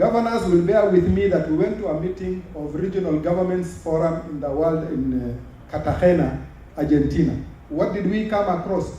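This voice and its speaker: A man with an American accent, high-pitched for a man, at a moderate pace with ordinary pitch variation, amid audible room echo and noticeable background noise. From Kenya. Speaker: government official. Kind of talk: conference speech. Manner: formal.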